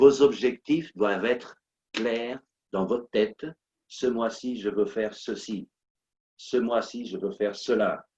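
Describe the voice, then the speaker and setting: A man with a non-native accent speaks at a very slow pace with long, frequent pauses, in a dry, close sound with no echo. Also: medium pitch for a man, ordinary pitch variation. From Portuguese-speaking country. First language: Portuguese (speaking French). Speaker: motivational coach and speaker. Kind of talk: motivational talk. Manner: animated, repetitive emphasis.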